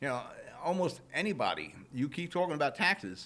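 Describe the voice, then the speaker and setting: Speaking at a very fast pace, a man uses a fairly high voice with vocal fry in an American accent. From New Jersey, Jersey City. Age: 60s. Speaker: local talk show host. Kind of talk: opinion monologue. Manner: animated, conversational.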